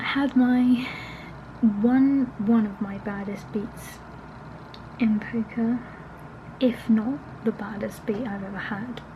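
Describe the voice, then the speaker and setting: Soft-spoken and fairly high-pitched, a woman speaks very slowly with fairly even intonation and long, frequent pauses, over noticeable background noise. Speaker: vlogger. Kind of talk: casual vlog talk to camera. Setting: at home.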